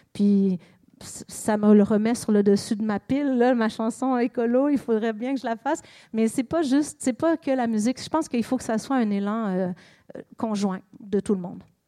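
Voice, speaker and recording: A woman with a Quebec accent speaks at a moderate pace in a dark, mellow tone with a fairly high pitch and ordinary pitch variation, recorded dry and close with no echo on a very clean recording with a silent background. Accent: Québécois French. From Quebec, Montreal. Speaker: singer-songwriter. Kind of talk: public interview.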